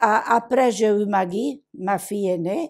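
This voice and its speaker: A woman's dark, mellow voice at medium pitch with an Italian accent, very slow, with ordinary pitch variation, on a very clean recording with a silent background. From southern Italy, Basilicata. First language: Italian (speaking French). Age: 80s+. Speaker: migrant woman. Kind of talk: testimony. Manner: animated.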